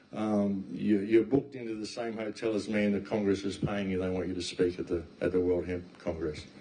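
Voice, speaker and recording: Against noticeable background noise, a man with an Australian accent talks at a fairly quick pace in a fairly low pitch. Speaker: talk guest, speaker. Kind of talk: talk to an audience. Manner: animated.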